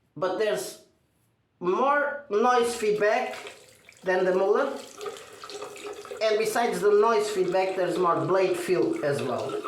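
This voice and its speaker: In a room with audible echo, a man with a non-native accent speaks at a very slow pace and a high pitch, using lively intonation and long, frequent pauses. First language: not English. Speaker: shaving video creator. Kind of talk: tutorial. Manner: halting.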